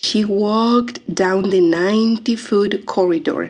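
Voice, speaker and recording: A woman with a strong non-native accent. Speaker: audiobook narrator. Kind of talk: audiobook memoir reading.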